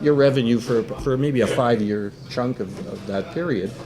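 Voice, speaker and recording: Noticeable background noise runs under a man's voice. He has a medium pitch, ordinary pitch variation and a moderate pace. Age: 70s. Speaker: business writer. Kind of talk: casual chat.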